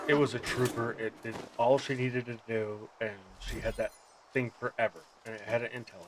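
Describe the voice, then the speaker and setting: American accent at a fairly quick pace, with noticeable background noise. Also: man, medium pitch for a man. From Montana. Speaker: streamer and army veteran. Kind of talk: casual gaming chat. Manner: hesitant.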